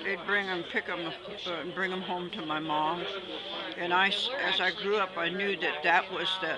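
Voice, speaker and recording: A woman with an American accent at a moderate pace, over loud background noise. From Oregon, USA. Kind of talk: interview answer. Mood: calm reminiscing. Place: tent. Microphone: phone near.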